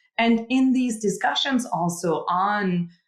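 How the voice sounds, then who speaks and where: Lively intonation runs through this woman's speech. Her voice sounds somewhat breathy. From Austria. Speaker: startup founder, chemical engineer. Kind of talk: podcast interview.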